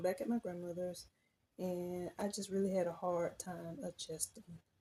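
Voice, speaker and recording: A woman speaks with a Southern US accent at medium pitch. Her tone is dark and mellow, and somewhat breathy. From US South, rural. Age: adult. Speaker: personal storyteller. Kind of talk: personal testimony. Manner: halting.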